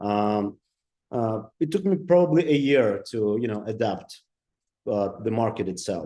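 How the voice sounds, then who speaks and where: With a Ukrainian accent, a man speaks. His tone is dark and mellow. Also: medium pitch for a man, fairly slow pace. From Ukraine. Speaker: digital designer and entrepreneur. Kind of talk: interview. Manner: halting, many fillers.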